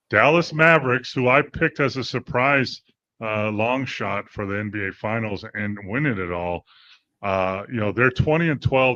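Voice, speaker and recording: A man with a fairly low pitch and an unremarkable speaking voice talks at a moderate pace, the sound dry and close with no echo against a quiet background. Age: 60s. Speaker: sports podcast co-host. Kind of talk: casual sports talk show.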